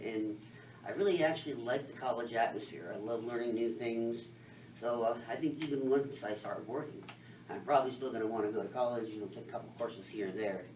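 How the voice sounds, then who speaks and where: An American accent with audible room echo. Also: man. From US West, Las Vegas, Nevada. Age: 30s. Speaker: college student and parent. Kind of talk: self-introduction speech. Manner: fast.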